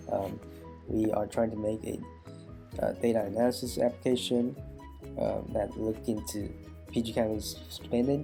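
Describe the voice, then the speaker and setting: Music in the background under a man at a fairly slow pace, fairly low in pitch, with ordinary pitch variation. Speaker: student. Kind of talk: class project presentation.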